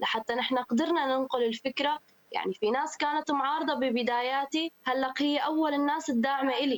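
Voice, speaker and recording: This high-pitched woman speaks at a moderate pace. The sound is dry and close, with no echo. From Syria. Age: 20s. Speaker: women's football player. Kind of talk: radio interview.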